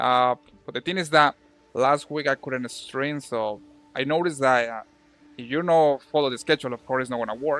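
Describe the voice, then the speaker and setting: A man with a Spanish accent, medium in pitch, talking at a fairly quick pace with fairly even intonation. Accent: Spanish accent, noticeable. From Colombia. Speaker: video game streamer. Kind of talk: casual live-stream chat while gaming. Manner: halting, with fillers and repetitions.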